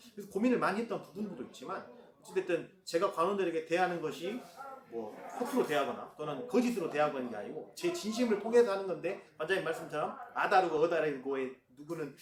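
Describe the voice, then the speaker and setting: Over noticeable background noise and audible room echo, a man talks at a very fast pace in a high pitch with very wide pitch swings. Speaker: judo gym owner. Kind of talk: casual interview.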